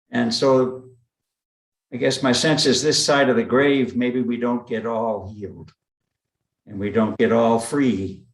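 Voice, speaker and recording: A man at medium pitch with fairly even intonation, a fairly slow pace and audible room echo. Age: 80s+. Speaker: meditation group participant. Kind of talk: group discussion. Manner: halting, repeats words.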